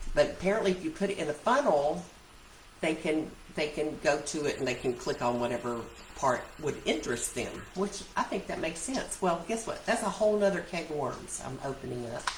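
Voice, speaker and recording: With audible room echo and noticeable background noise, a woman with a fairly low voice talks at a fairly quick pace, her pitch swinging very widely. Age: 60s. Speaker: essential oil seller and vlogger. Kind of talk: casual vlog chat. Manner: chatty, rambling with self-corrections.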